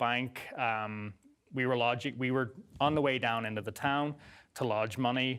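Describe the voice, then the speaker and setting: This man speaks at a moderate pace with an Irish accent, his intonation flat and monotone, on a very clean recording with a silent background. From Northern Ireland. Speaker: guest sharing life story. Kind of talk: interview testimony.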